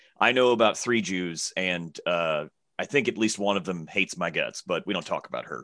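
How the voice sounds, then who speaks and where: The tone is bright and sharp, in a Southern accent. The pace is moderate, with ordinary pitch variation. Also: man, very deep, low pitch for a man. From Alabama, US South. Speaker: comedian. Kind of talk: casual chat.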